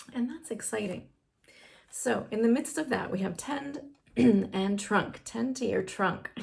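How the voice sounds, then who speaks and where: Speaking at a fairly slow pace, a woman uses lively intonation with vocal fry. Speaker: tarot reader. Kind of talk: tarot reading. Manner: casual, hesitant with fillers.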